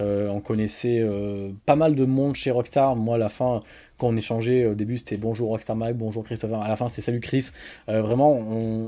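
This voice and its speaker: A man with a dark, mellow tone, a moderate pace, and monotone, flat intonation. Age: 20s. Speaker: gaming channel host. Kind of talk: casual Q&A video. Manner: hesitant with many fillers. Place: home room.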